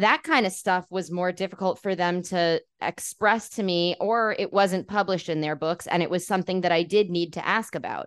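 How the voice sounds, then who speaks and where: A woman speaks with a New York accent. The sound is dry and close with no echo, over a quiet background. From New York City, Queens. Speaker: journalist and podcast host. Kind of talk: interview.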